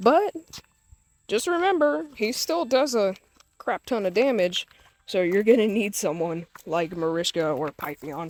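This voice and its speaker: Speaking at a fairly slow pace, a woman with a medium pitch makes very wide pitch swings and leaves long, frequent pauses. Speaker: gaming YouTuber. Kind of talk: gameplay tutorial. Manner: casual, informal.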